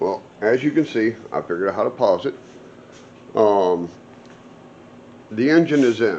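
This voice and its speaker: The man talks at a moderate pace with medium pitch. His intonation is lively, broken by long, frequent pauses. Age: 60s. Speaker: off-road vehicle builder and vlogger. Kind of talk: casual vlog talk. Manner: rambling, conversational with fillers.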